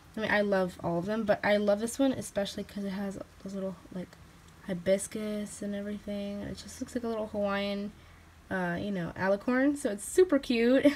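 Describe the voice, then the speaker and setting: A somewhat breathy voice at a fairly quick pace with fairly even intonation, over light background noise. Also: woman. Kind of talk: casual vlog chat. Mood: cheerful, playful. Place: home room. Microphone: phone near.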